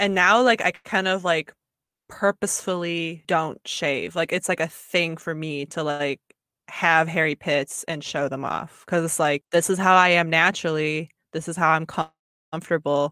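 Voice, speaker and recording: A woman with an American accent talks at fairly low pitch and a moderate pace, her tone bright and sharp, her intonation fairly even, in a dry, close sound with no echo. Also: very clean recording, silent background. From Michigan, with years in Belgium and Japan. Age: 20s. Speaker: fashion designer and multidisciplinary artist. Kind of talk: casual interview.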